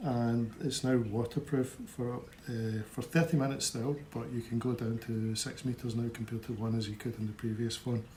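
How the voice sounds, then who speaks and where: With a Scottish accent, a man talks at a moderate pace and medium pitch, with hardly any pauses. His intonation is fairly even, and noticeable background noise is present. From Scotland. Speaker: tech unboxing presenter. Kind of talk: product unboxing review. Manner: casual, hesitant with fillers.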